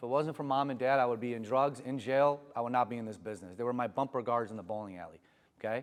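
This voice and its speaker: Talking at a very fast pace, a man with medium pitch sounds animated, with ordinary pitch variation. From Iran. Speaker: motivational speaker. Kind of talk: motivational talk. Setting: stage with audience.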